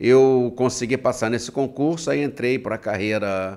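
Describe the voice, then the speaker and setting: Medium-pitched male speech at a moderate pace, with ordinary pitch variation, on a very clean recording with a silent background. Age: 60s. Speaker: writer, retired bank employee. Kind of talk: podcast interview. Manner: halting, repetitive.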